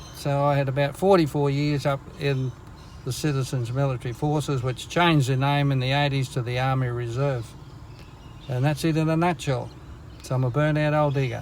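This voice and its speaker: Speaking with an Australian accent, a man keeps a fairly high pitch, fairly even intonation and very even loudness at a fairly quick pace. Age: 60s. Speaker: army reserve veteran. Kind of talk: storytelling. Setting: in a car.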